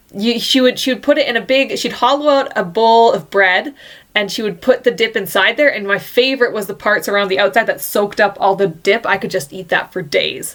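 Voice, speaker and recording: A woman speaks at a fairly quick pace with hardly any pauses, in an ordinary speaking voice. Her pitch sits fairly high and varies in an ordinary way. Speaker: podcast host. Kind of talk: casual podcast conversation.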